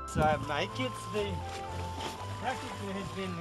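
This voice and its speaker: A man's fairly slow speech over loud background music. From Romania. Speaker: commercial salmon fisherman. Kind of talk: interview answer. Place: boat. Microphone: camera far.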